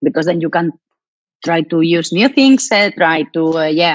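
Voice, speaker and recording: In a Spanish accent, a woman speaks at a moderate pace with a fairly low pitch. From Spain. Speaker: professional handball player. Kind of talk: interview Q&A. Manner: halting.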